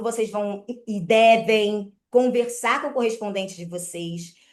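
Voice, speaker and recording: A very slow pace paired with lively intonation. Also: woman. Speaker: mortgage credit broker. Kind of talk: online presentation.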